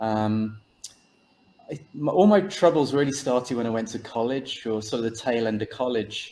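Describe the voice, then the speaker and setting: This man has an English accent and a medium pitch. He talks at a moderate pace. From England, Birmingham. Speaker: author. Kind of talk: interview.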